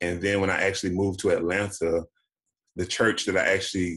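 The speaker has an American accent and a monotone, flat intonation, with a quiet background. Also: man. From US South, Daytona Beach, Florida; Florida. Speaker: actor and HIV activist; actor. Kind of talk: interview. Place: home room. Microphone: video call.

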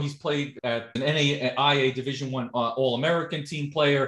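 A man's fairly high voice at a moderate pace, with a quiet background and audible room echo. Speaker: podcast interviewer. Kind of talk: interview host talk. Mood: friendly, enthusiastic. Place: home room. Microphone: video call.

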